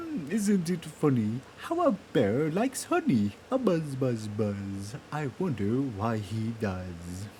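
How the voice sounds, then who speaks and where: Clear background noise runs beneath a man speaking at a medium pitch. He uses a put-on character voice at a fairly slow pace. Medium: read story. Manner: slow, humming and musing.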